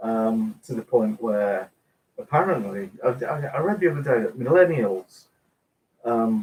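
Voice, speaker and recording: With an English accent, a man speaks at a medium pitch and a fairly slow pace. His intonation is lively. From England. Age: 60s. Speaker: cooking video host. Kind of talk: live stream chat reading comments. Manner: halting, many fillers.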